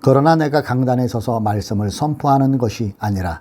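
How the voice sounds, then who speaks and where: Lively intonation and a dark, mellow tone from a man speaking at a moderate pace. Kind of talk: preaching, sermon.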